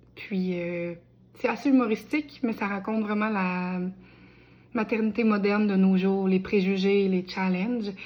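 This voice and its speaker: Speaking fairly slowly at medium pitch, a woman keeps her intonation fairly even. She takes long, frequent pauses. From Quebec, Bellechasse. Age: 20s. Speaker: aspiring novelist. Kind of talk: crowdfunding appeal video. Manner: casual with many hesitations.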